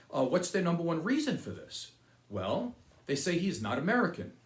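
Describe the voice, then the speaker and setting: With audible room echo, a man speaks at a high pitch. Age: 60s. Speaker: political commentary video host. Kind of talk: opinion monologue.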